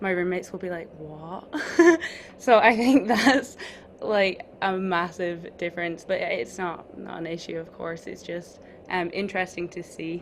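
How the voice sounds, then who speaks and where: A woman with a Scottish accent talks at a fairly slow pace, her medium pitch held in fairly even intonation. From Scotland. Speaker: college basketball player. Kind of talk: interview.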